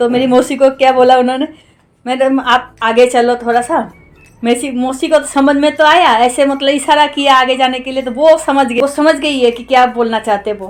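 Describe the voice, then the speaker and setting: With a Bengali accent, a woman with a high pitch talks at a moderate pace with fairly even intonation. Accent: Bengali-accented Hindi. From West Bengal, India (village). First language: Bengali (speaking Hindi). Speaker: cooking vlogger. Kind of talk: casual vlog chat.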